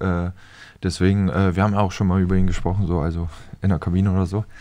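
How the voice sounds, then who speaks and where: Against a quiet background, a man speaks in a monotone, flat intonation with a very deep, low pitch and a dark, mellow tone. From northern Germany. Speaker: professional footballer; podcast guest. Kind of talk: casual chat. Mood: relaxed, casual. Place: studio. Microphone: studio mic.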